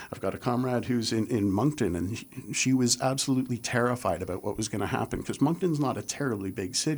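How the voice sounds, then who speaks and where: An unremarkable speaking voice with a Canadian accent, ordinary pitch variation and a fairly quick pace. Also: man. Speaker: political organizer. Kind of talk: panel discussion on politics. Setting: radio studio.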